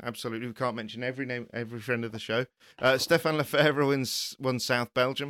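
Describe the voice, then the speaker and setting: A man with an English accent, medium pitch, bright and sharp tone, fairly quick pace and fairly even intonation, in a very clean, dry, close recording with no echo and a silent background. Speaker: podcast host, motorsport journalist. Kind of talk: casual chat.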